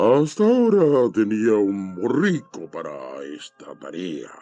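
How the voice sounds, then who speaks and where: A man uses a put-on character voice at a medium pitch. He talks at a fairly slow pace. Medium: read story.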